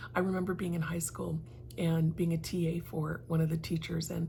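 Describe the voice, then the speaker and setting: A woman speaks at a moderate pace in a dark, mellow tone with vocal fry and a fairly low pitch. Her intonation stays fairly even, and the room echo is audible. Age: 60s. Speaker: lifestyle vlogger and realtor. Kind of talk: personal reflection vlog. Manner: conversational, with frequent fillers.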